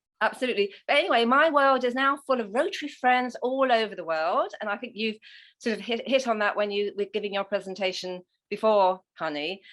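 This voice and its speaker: A woman with an English accent speaks at a fairly quick pace, with a fairly high pitch and lively intonation. The recording is very clean, with a silent background. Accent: English accent, never became American. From England. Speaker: Rotary leader and former journalist. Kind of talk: interview.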